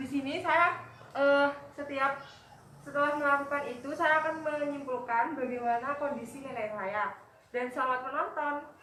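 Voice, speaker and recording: A raised, projected voice comes through with audible room echo. The pace is moderate and the intonation fairly even. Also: woman, high pitch for a woman. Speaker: nursing student. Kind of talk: scripted introduction; role-played nursing assessment interview.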